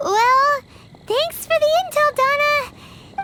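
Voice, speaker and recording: This squeaky, put-on character voice moves at a fairly slow pace. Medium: video game. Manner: chirpy, teasing.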